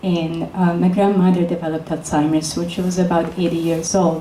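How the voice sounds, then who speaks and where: In a room with audible echo and noticeable background noise, a woman with an Italian accent speaks at a fairly low pitch. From Italy, Florence. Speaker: neuroscientist. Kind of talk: lecture.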